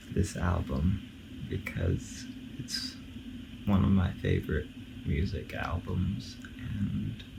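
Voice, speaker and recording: Over noticeable background noise, a man with a very deep, low voice mumbles in a calm tone at a very slow pace, his intonation lively and his pauses long and frequent. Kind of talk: casual talk to camera, album commentary. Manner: calm, mumbling, half-asleep.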